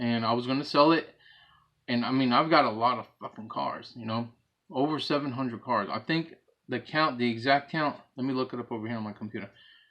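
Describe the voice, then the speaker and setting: A man talks at a fairly quick pace and a medium pitch, with ordinary pitch variation. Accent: American. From New York, the Bronx. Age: 40s. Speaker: hobbyist video creator, former Marine. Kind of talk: casual vlog talk. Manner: casual, blunt.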